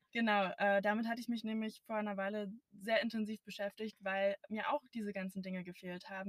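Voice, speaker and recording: Recorded dry and close with no echo, a woman at medium pitch speaks at a moderate pace in a monotone, flat intonation. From Brandenburg, Germany. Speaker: podcast co-host. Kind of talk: casual chat. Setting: in a car.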